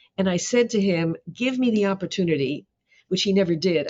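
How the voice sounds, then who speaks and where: Someone speaks at a very fast pace with lively intonation in a Canadian accent. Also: woman, very even loudness. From Canada, Toronto. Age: 80s+. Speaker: professor. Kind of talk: interview.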